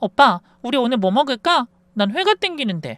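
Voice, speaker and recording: In a put-on character voice, someone whines through the nose at a fairly quick pace, the pitch swinging very widely. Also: female-sounding voice, high pitch for a woman. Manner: cutesy, whiny, flirty.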